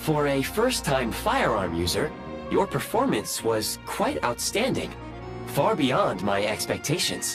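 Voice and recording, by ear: Over clear music in the background, a man puts on a character voice at medium pitch, speaking at a slow pace with very wide pitch swings.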